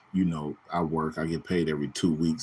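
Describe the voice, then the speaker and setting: Speaking fairly quickly, a man has a very deep, low pitch and an American accent. The recording is very clean, with a silent background. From US West Coast, Bay Area (Richmond, California). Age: 40s. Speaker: YouTube talk show host, truck driver. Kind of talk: casual live-stream talk.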